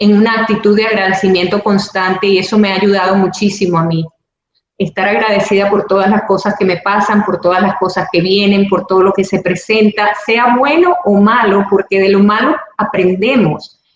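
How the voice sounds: A woman's medium-pitched voice at a moderate pace, with fairly even intonation and very even loudness.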